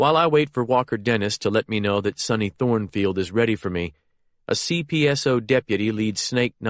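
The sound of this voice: Quiet surroundings behind an unforced reading voice.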